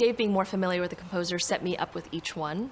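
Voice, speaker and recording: Noticeable background noise sits behind a woman speaking at a fairly low pitch. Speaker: singer-songwriter and composer. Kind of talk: documentary interview.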